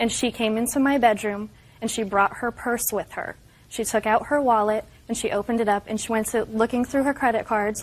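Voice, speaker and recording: A woman with an American accent has an unremarkable speaking voice. Her pitch is fairly high and her pace fairly quick. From North Carolina. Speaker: plaintiff in TV court show. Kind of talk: courtroom testimony.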